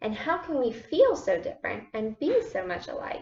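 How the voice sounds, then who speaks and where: A woman does a put-on character voice at a high pitch and a moderate pace. Faint music plays in the background. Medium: read story. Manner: chirpy.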